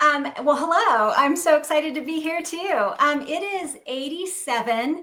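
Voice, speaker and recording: Her voice raised and projected, a woman speaks at a high pitch with ordinary pitch variation, at a fairly slow pace with hardly any pauses. Noticeable background noise and audible room echo are present. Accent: American. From US South, South Carolina. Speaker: cognitive psychologist. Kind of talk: lecture.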